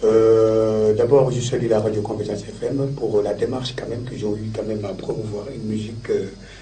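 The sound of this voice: Fairly low male pitch with little pitch movement at a moderate pace, a man heard with audible room echo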